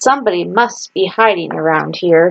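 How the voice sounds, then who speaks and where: A woman uses a put-on character voice at medium pitch, with ordinary pitch variation and a moderate pace. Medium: read story.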